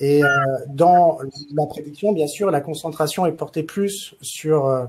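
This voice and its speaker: Very slow pace from a man with a fairly high pitch and fairly even intonation. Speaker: consultant presenting in a webinar. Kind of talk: webinar presentation. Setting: online webinar. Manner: hesitant, many filler sounds.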